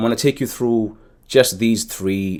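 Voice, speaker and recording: Recorded very cleanly with a silent background, a man speaks with ordinary pitch variation. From South Africa, Cape Town. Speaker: educator, soccer coach and YouTuber. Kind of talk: tutorial. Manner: hesitant, many fillers and restarts.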